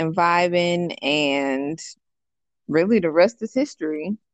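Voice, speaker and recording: A woman speaks fairly slowly in an ordinary speaking voice, with a fairly low pitch and ordinary pitch variation. The sound is dry and close with no echo. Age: 30s. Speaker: podcast guest. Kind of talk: casual chat.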